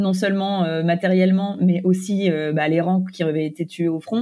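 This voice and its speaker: A woman speaks in a fairly low pitch with a dark, mellow tone. Her pace is fairly slow and her intonation fairly even. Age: 20s. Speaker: author and content creator. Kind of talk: interview. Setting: remote interview.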